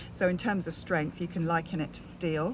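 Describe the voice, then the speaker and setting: A woman with a British accent talks at a fairly quick pace in a fairly low voice with vocal fry. Her intonation is monotone and flat. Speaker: network marketer. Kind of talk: casual vlog. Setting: outdoors in garden. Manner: whispering, quiet.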